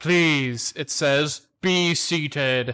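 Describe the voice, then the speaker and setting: A man's booming, put-on character voice, fairly high in pitch, with fairly even intonation. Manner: formal, commanding.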